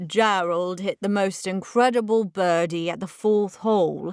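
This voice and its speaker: Loud and booming, a woman puts on a character voice at a medium pitch with fairly even intonation. Her pace is moderate, and the recording is very clean with a silent background. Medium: read story.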